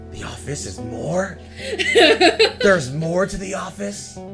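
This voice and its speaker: A man uses a put-on character voice, fairly high-pitched, with very wide pitch swings. Clear music plays in the background. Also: fairly slow pace. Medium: actual play. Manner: indignant, self-important.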